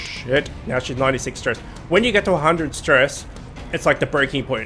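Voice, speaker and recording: Music plays in the background. Over it, a man talks at a fairly high pitch. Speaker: gaming video host. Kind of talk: casual gameplay commentary.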